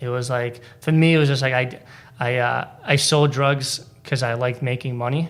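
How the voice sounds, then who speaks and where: A man's medium-pitched voice with a Boston accent, monotone, flat intonation and a moderate pace. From Boston area (Braintree), Polish immigrant parents. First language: Polish. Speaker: stand-up comedian. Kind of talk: casual interview chat. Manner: halting, lots of fillers and repeats.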